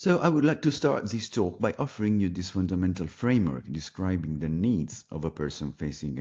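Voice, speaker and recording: With an Italian accent, a man talks at a fairly quick pace in a very deep, low voice of dark, mellow tone, showing very wide pitch swings and vocal fry against a quiet background. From Italy. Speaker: palliative care physician. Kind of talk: pre-recorded presentation. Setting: pre-recorded video.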